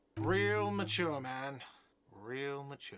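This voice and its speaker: Putting on a whiny character voice, a man speaks at medium pitch. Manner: shouting.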